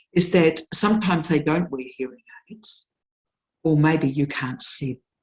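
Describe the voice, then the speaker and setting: A woman with a New Zealand accent speaks at a fairly slow pace. Her voice is very deep and low, somewhat breathy, with ordinary pitch variation. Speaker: nurse educator. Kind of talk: lecture. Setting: webinar. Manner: slow, deliberate articulation.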